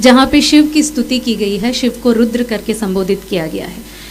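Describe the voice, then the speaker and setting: A woman with lively intonation amid noticeable background noise. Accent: Tamil. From India, Tamil Nadu (Madurai). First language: Tamil (speaking Hindi). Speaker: civil servant. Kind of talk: speech at a cultural event. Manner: formal, bookish Hindi.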